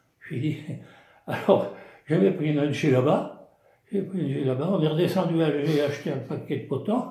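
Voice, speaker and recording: A man's somewhat breathy, dark and mellow voice, fairly high in pitch, at a moderate pace with ordinary pitch variation, long and frequent pauses, and audible room echo. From southwest France (Gironde village). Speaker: retired craftsman, village storyteller. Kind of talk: casual storytelling interview. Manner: halting, repetitive.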